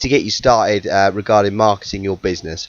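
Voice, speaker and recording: The speaker is a man with a fairly quick delivery. Noticeable background noise sits behind his voice. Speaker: podcast host and personal trainer. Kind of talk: casual solo podcast. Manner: fast; passionate.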